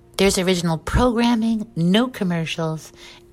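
A woman talks fairly slowly. Noticeable background noise can be heard behind her. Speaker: promo announcer. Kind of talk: scripted promo read.

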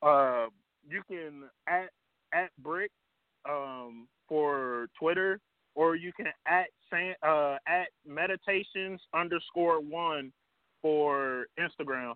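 A man with an American accent speaks at a fairly high pitch. His pace is very slow, with long, frequent pauses. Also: ordinary pitch variation. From Dayton, Ohio. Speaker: rapper and songwriter. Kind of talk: casual interview. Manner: hesitant, many fillers.

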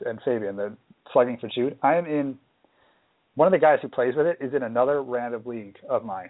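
A man is speaking at a medium pitch. His pace is fairly quick. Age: 20s. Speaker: fantasy baseball podcast host. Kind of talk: casual chat.

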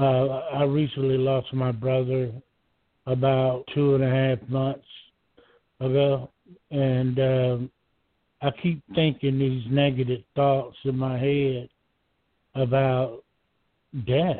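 Speaking very slowly with long, frequent pauses, a man with a Southern US accent keeps a medium pitch, monotone, flat intonation and very even loudness. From Georgia, US South. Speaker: caller. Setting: phone call. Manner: halting.

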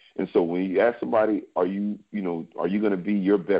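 An ordinary speaking voice from a man, fairly low in pitch, at a fairly quick pace. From New York City and Alexandria, Virginia. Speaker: former pro football player and trainer. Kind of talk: podcast interview.

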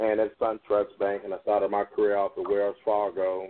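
A man with an ordinary speaking voice talks at a moderate pace with ordinary pitch variation. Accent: American. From Chicago, South Side. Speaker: financial advisor. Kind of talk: interview on call-in radio show. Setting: phone call.

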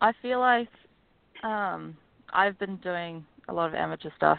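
The woman speaks with a slight New Zealand accent. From New Zealand, Auckland. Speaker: professional golfer. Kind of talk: interview. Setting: phone call.

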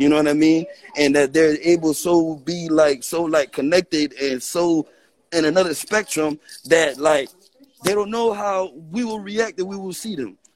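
The pace is moderate, with ordinary pitch variation. It is a normal speaking voice. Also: man, fairly high pitch for a man. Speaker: caller. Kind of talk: call-in conversation. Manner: rambling, repeats words.

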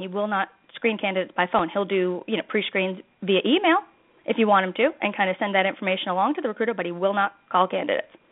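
A woman talks at a very fast pace. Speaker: recruiter and sourcer. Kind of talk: casual chat. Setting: phone call.

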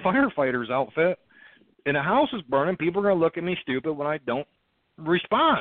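An unremarkable speaking voice from a man, fairly high in pitch, at a fairly quick pace with lively intonation. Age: 30s. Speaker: militia group leader. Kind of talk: interview, conversational.

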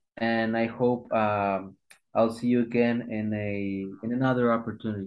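The speaker has a Latin American accent and fairly even intonation. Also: man. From Ecuador. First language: Spanish. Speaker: actor and TV host. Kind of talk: podcast interview. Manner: hesitant, uses many fillers.

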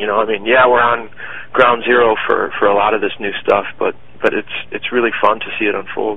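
Fairly quick speech from a man with an American accent, noticeable background noise behind him. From Michigan, US. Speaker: founder of a city media brand. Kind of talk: interview.

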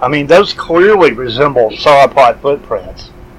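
The speaker is a man at a moderate pace. Noticeable background noise is present. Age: 50s. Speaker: podcast host. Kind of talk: interview.

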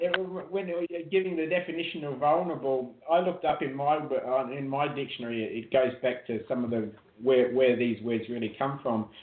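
Here a man speaks with an Australian accent at a medium pitch. His pace is moderate and his pitch variation ordinary. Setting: phone call from abroad.

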